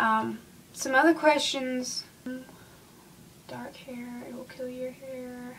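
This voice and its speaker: Amid noticeable background noise, a woman with a Southern US accent speaks very slowly in a high voice, with long, frequent pauses and big swings in loudness. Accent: Southern US country. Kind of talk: casual how-to talk to camera. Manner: chatty, rambling, many fillers.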